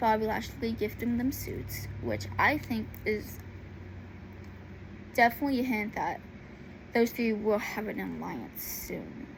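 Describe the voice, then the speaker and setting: A woman at a fairly slow pace, long, frequent pauses, and audible room echo. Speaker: YouTuber talking about wrestling. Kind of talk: casual vlog monologue. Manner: halting, many fillers.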